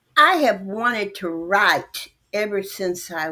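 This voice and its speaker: A woman's voice has a bright, sharp tone and lively intonation. She speaks at a very slow pace. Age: 80s+. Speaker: author. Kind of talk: interview.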